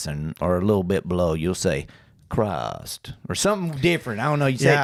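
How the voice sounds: Speaking with a Southern US accent, a man moves at a fairly quick pace. His fairly low voice swings very widely in pitch. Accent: hillbilly, rural Southern.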